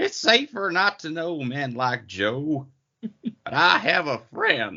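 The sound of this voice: Putting on a character voice, a man sounds squeaky and creaky at a fairly high pitch, swinging very widely in pitch at a fairly slow pace.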